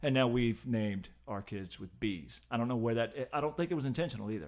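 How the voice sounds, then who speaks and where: Lively intonation runs through an unremarkable speaking voice. The pace is fairly quick. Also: man, medium pitch for a man. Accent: American. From Richmond, Virginia area. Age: 50s. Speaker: podcast guest and occasional co-host. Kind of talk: casual chat.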